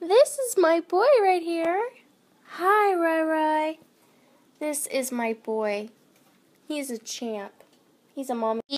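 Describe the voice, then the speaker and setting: Extremely high-pitched with very wide pitch swings, a woman speaks at a very slow pace broken by long, frequent pauses. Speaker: makeup artist vlogger. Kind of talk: casual social media monologue. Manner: animated.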